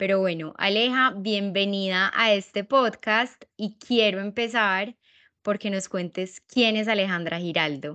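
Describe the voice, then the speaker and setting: A woman with an Antioquian accent speaks fairly slowly, her medium pitch showing ordinary variation. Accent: Colombian paisa Spanish. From Colombia, paisa region. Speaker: podcast host. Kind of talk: casual interview.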